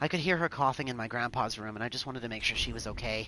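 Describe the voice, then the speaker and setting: A man with a medium pitch speaks in a bright, sharp tone. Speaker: gaming streamer. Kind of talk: live gameplay commentary. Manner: casual.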